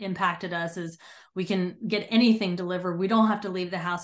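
Against a quiet background, a woman with a medium pitch and fairly even intonation talks in an ordinary speaking voice. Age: 40s. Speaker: Navy veteran and mental performance coach. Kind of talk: interview.

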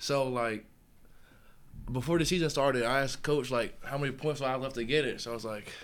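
A man with an American accent at medium pitch, talking at a very fast pace with fairly even intonation and audible room echo. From Charlotte, North Carolina. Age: young (college freshman, about 18-19). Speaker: college football player (defensive lineman). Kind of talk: casual interview.

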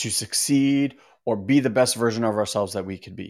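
Ordinary pitch variation marks the voice on a very clean recording against a silent background. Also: man. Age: 40s. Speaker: podcast host and coach. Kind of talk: casual monologue on inner healing. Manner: slow, emphatic.

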